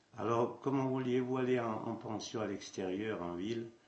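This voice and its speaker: At a fairly slow pace, a man talks with ordinary pitch variation, and the room echo is audible. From central France, Puy-de-Dôme. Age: 80s+. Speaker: traditional hurdy-gurdy musician. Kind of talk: interview, life story. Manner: halting, with repetitions.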